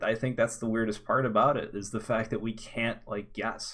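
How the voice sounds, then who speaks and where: Fairly even intonation from a man with a normal speaking voice, his pitch medium and his pace moderate. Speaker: podcast co-host. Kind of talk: casual chat.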